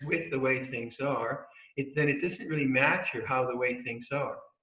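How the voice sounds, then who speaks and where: Moderately paced speech from a man of medium pitch, with ordinary pitch variation and audible room echo. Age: 70s. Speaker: Buddhist monk and meditation teacher. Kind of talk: dharma talk. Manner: halting.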